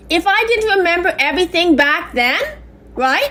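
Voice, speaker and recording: A loud voice with very wide pitch swings at a moderate pace. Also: woman. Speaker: complainant. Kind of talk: phone complaint. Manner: halting.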